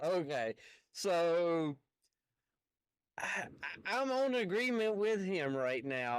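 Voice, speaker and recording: A man speaks very slowly in a high voice. The recording is very clean, with a silent background. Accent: strong Southern US. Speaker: truck driver and commentary YouTuber. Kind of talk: reaction commentary. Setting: in a semi truck. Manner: halting, stammering.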